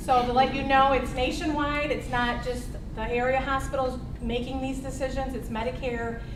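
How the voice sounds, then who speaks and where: A woman's loud, high-pitched voice at a moderate pace, with monotone, flat intonation, audible room echo, and noticeable background noise. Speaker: healthcare advocate trainer and forum moderator. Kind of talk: public forum presentation. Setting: meeting room with audience and microphones.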